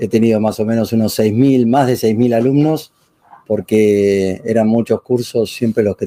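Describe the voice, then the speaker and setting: A man talks at a moderate pace with a dark, mellow tone and medium pitch. His intonation is fairly even, and the sound is dry and close with no echo. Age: 60s. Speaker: author and retired professor. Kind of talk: interview. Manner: halting.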